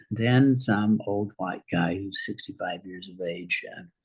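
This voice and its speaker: This man's voice sits fairly low in pitch. It sounds somewhat breathy. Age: 80s+. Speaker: university president. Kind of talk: interview. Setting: podcast. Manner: halting, many fillers and repetitions.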